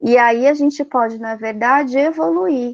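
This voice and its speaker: Pitched fairly high with ordinary pitch variation, a woman speaks in an unremarkable speaking voice. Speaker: Jungian psychology speaker. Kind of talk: lecture.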